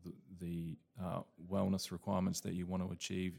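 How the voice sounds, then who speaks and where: This man's voice sits at a very deep, low pitch. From New Zealand. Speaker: property investment director. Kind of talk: live panel discussion. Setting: live event with audience.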